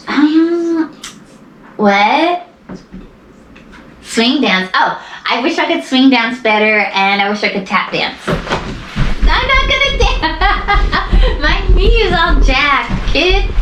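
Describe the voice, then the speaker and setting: A woman's high voice with very wide pitch swings at a very slow pace, amid audible room echo and noticeable background noise. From US West, Mojave Desert, California. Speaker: interviewee, mother. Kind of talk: casual chat.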